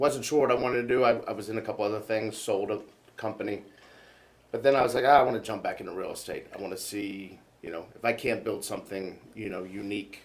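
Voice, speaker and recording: Talking at a very fast pace yet with long, frequent pauses, a man with a Georgia accent shows big swings in loudness and ordinary pitch variation. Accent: Georgia Southern. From US South, Georgia (Snellville, near Atlanta). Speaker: real estate team leader. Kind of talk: podcast interview.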